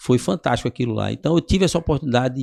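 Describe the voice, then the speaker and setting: Recorded dry and close with no echo, a man speaks at medium pitch with vocal fry and ordinary pitch variation. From Northeast Brazil, Paraíba then Recife. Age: 60s. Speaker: physical education professional. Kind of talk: podcast interview.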